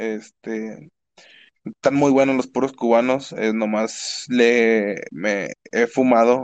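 Very slow delivery with fairly even intonation. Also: man, medium pitch for a man. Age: 20s. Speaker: university student and streamer. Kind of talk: casual chat. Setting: live online stream.

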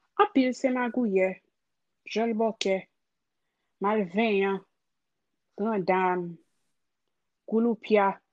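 A woman with a Haitian accent speaks at a very slow pace, her voice fairly high in pitch with fairly even intonation. Long, frequent pauses break up her speech, and the sound is dry and close with no echo. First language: Haitian Creole. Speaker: creative. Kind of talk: personal storytelling.

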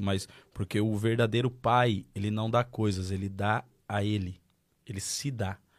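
A man with an unremarkable speaking voice and a fairly low pitch is heard on a very clean recording with a silent background. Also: fairly even intonation, fairly slow pace. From Marília, interior of São Paulo, Brazil. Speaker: pastor. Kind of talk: testimony.

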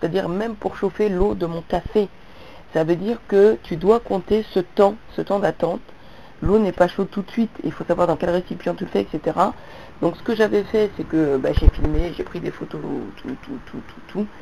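A woman at a medium pitch, her tone dark and mellow with vocal fry, speaks at a moderate pace with big swings in loudness. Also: ordinary pitch variation. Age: 40s. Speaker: vlogger. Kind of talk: monologue to camera.

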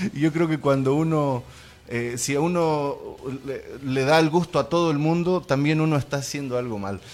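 This man talks at a moderate pace in a fairly high pitch, with ordinary pitch variation. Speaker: activist and city councillor. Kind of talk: radio interview. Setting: radio studio. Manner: hesitant, repeats words.

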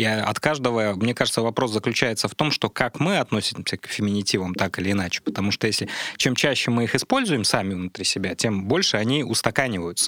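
Very fast and with ordinary pitch variation, a man with a fairly low pitch speaks in a dry, close sound with no echo. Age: 30s. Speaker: science popularizer. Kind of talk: casual chat. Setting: studio.

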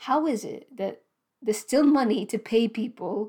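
A woman's fairly high voice with a dark, mellow tone, ordinary pitch variation and a fairly slow pace. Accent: British. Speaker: doctor and podcast host. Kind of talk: monologue podcast, personal storytelling. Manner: emphatic and urgent, indignant; conversational, with frequent filler words and self-corrections.

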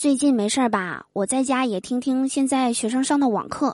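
An animated, high-pitched woman's voice over a quiet background. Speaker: podcast host, comedian. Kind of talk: comedic monologue.

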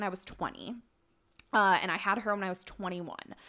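A woman's bright, sharp tone with an American accent. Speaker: podcast guest, young mother. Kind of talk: casual chat.

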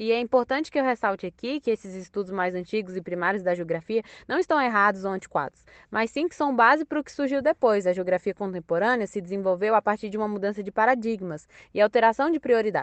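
A woman with a fairly high pitch rushes along at a very fast pace with lively intonation. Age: 20s. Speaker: university student podcaster. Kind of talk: educational podcast monologue.

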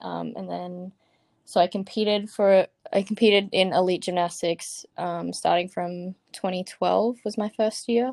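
Speaking at a fairly slow pace with an Australian accent, a woman at medium pitch keeps her intonation fairly even while her loudness swings widely, captured in a very clean, dry, close recording with a silent background and no echo. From Australia, Brisbane, Queensland. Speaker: college gymnast. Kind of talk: interview.

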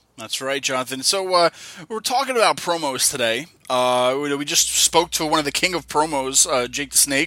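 A fairly high-pitched man speaks with a bright, sharp tone. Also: ordinary pitch variation, moderate pace. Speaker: wrestling podcast co-host. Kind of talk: casual chat. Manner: hesitant, filler-heavy.

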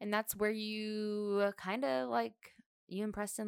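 This woman has an unremarkable speaking voice, medium in pitch, and she talks at a fairly slow pace. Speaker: podcast co-host. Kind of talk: casual chat.

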